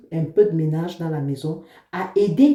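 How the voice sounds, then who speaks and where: Her tone is dark and mellow, and this woman sounds somewhat breathy. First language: an African language, not French (speaking French). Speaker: vlogger, mother. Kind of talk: casual vlog talk to camera.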